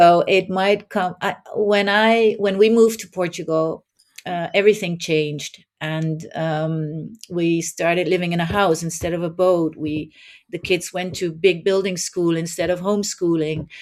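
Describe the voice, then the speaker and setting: A woman with a Dutch accent, fairly low pitch, fairly even intonation and a fairly slow pace. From southern Netherlands. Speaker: life coach. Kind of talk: podcast interview.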